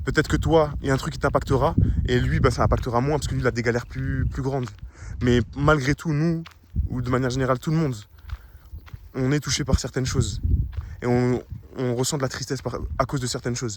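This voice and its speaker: Mumbled speech comes at a very fast pace with fairly even intonation and long, frequent pauses, over noticeable background noise. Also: man, medium pitch for a man. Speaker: anonymous vlogger. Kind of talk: personal monologue vlog. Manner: mumbling, swallows words, halting.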